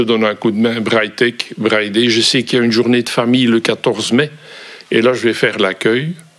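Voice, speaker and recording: Noticeable background noise accompanies a man with a strong Brussels accent. His voice sits at a medium pitch. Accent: Brussels accent, fairly strong. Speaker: volunteer. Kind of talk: interview. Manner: hesitant, many fillers.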